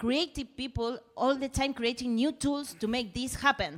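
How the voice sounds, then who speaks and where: A woman speaks in a Spanish accent. The recording is very clean, with a silent background. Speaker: musician. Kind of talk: casual chat. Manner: halting, searching for words.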